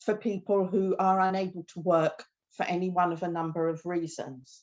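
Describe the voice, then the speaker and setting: A woman speaks at a moderate pace in a British accent. Her pitch is medium, and the background is quiet. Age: 60s. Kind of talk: presentation talk. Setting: video call from her kitchen.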